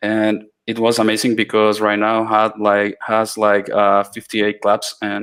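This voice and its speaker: A man with a Spanish accent, fairly low in pitch, flat and monotone at a moderate pace, on a very clean recording with a silent background. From Latin America. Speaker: iOS developer. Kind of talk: mentoring Q&A. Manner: halting, many fillers and restarts.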